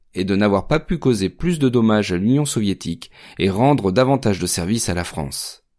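On a very clean recording with a silent background, a man with a fairly low voice speaks in a dramatic tone at a moderate pace, his pitch swinging very widely. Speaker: podcast narrator. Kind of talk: scripted true-crime history narration. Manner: measured, steady storytelling pace; dramatic, emphatic delivery building suspense.

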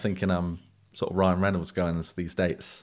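A man with a South London accent talks at a very deep, low pitch, recorded very cleanly over a silent background. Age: 20s. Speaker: dating podcast guest. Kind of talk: casual interview.

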